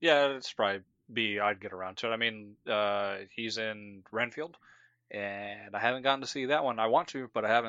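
A man talks at a moderate pace in a medium pitch. His is an unremarkable speaking voice with ordinary pitch variation. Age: 20s. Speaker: podcast co-host. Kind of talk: casual chat.

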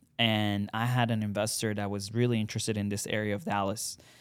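His voice sits at a medium pitch as the man moves along at a fairly quick pace. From Iran. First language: Farsi. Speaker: real estate buyer's agent. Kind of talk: casual interview chat.

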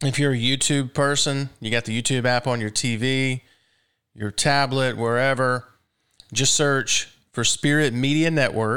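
A man with a Southern US accent speaks in a bright, sharp tone at medium pitch, monotone and flat. The pace is fairly slow, and the recording is very clean with a silent background. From Mississippi. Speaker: radio host. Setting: studio.

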